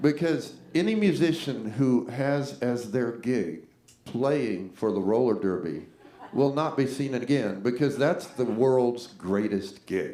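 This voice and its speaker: In a room with audible echo, a man with an American accent speaks very slowly at a medium pitch. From US South, Jacksonville Florida. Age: 60s. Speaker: singer-songwriter and bandleader. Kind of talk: stage banter between songs. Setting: live stage with audience. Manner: halting, repetitive.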